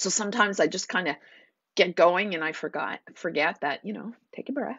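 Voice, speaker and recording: Big swings in loudness run through this woman's speech. She talks at a fairly quick pace and medium pitch with ordinary pitch variation. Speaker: naturopath hosting a live stream. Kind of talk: live stream talk. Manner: animated.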